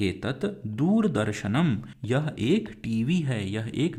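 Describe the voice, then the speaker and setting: A man's medium-pitched voice, dark and mellow in tone, with very wide pitch swings and audible room echo. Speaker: teacher. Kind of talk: lecture. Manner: slow, clear explanatory.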